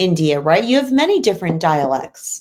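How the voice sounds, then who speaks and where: The speaker has a plain, everyday voice. The pace is moderate and the intonation lively. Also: woman. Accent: American. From United States. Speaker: online English tutor. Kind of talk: casual chat.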